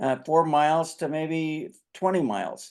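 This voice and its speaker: This man has a dark, mellow tone and an American accent. The background is quiet. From Idaho, USA. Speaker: marketing and education consultant. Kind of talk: podcast interview answer.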